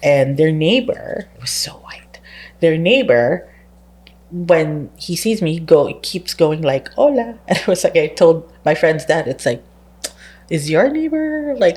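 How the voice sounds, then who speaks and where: The woman's voice is somewhat breathy. Her pitch swings very widely. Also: fairly low pitch for a woman, fairly slow pace. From Philippines. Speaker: librarian. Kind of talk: casual chat.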